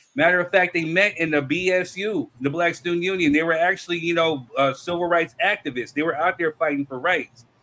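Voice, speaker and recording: A man talks at a fairly quick pace in a high pitch, his tone bright and sharp. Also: ordinary pitch variation, hardly any pauses. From United States. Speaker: podcast host reading viewer comments. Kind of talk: heated debate. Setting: live stream with chat. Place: studio.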